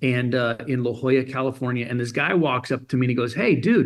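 Here a man uses a normal speaking voice at medium pitch with a General American accent. He keeps a fairly quick pace. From Germany. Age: 50s. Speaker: motivational speaker. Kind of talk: interview. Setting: phone call.

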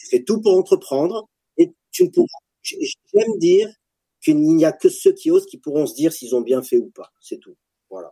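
At a moderate pace, a man talks with long, frequent pauses and big swings in loudness, captured in a dry, close sound with no echo. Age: 40s. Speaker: startup founder, former special forces soldier. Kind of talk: casual interview.

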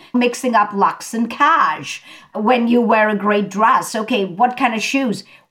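Fairly slowly, a woman speaks at a fairly high pitch with ordinary pitch variation. Her tone is bright, sharp and animated. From India. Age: 50s. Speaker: fashion stylist. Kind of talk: interview.

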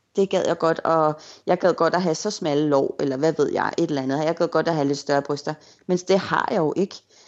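Her voice is an ordinary speaking voice, and the woman keeps a moderate tempo while her pitch varies in an ordinary way. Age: 30s. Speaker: blogger. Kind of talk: interview.

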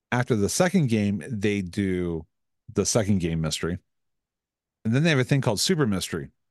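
A man speaks at a fairly quick pace in a fairly low pitch, with lively intonation and a dry, close sound with no echo. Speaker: podcast host. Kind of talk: casual chat. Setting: recorded with webcam and microphone.

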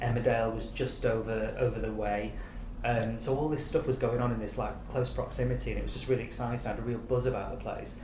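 A man speaks at a very fast pace. Noticeable background noise and audible room echo surround him. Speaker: TV executive producer. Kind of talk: casual chat.

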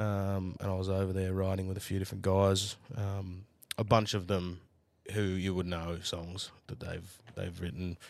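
On a very clean recording with a silent background, a man with a very deep, low pitch speaks at a moderate pace in monotone, flat intonation. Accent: Australian. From Australia, New South Wales. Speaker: country music singer and songwriter. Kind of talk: casual chat.

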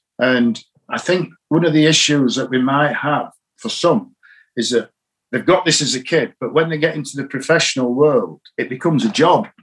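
In a Yorkshire accent, a man speaks at a fairly high pitch and moderate pace with ordinary pitch variation. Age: 60s. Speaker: cricket coach. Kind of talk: interview. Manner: calm.

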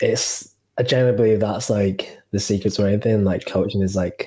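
A man's voice, somewhat breathy and dark and mellow in tone, sits at a fairly low pitch with monotone, flat intonation. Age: 20s. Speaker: podcast host and fitness coach. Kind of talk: casual chat.

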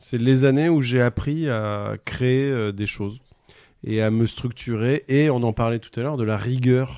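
The man's voice has a dark, mellow tone, a medium pitch and fairly even intonation. He speaks at a fairly slow pace in a very clean recording with a silent background. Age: 40s. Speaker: comedian. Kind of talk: casual chat.

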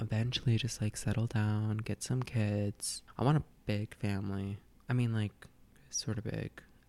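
An unremarkable speaking voice with an American accent, fairly slow pace and fairly even intonation, on a very clean recording with a silent background. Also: man. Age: 20s. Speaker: student, guest. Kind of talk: casual chat.

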